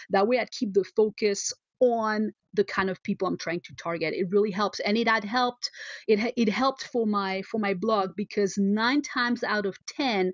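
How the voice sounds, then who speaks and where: A woman speaks in a French accent at a fairly high pitch. Her pace is moderate and her pitch variation ordinary. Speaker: photographer and entrepreneur, blogger. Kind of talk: interview. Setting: video call. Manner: halting, many fillers and repeats.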